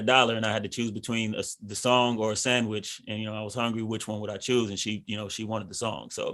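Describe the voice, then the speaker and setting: A man's very fast, flat, monotone delivery. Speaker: R&B singer and musician. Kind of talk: radio interview. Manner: halting, many fillers and repeats.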